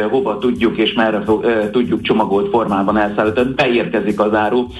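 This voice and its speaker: Music plays in the background. The voice has ordinary pitch variation. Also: man. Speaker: produce company representative. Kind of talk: radio interview.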